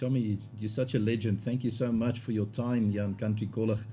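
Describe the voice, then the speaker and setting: A man talks at a moderate pace in a medium pitch, with a dark, mellow tone that is somewhat breathy. His intonation is monotone and flat, and his loudness stays very even. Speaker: interviewer. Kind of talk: interview.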